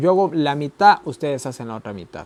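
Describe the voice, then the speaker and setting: With lively intonation, a man talks at a fairly quick pace in a fairly high pitch. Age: young. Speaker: Bible teacher. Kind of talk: Bible study lesson. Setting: recording alone to camera. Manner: conversational, repeats ¿ya?.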